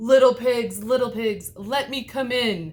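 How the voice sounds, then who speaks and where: A put-on character voice, growling at a fairly high pitch and a fairly slow pace. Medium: read story. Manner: growly.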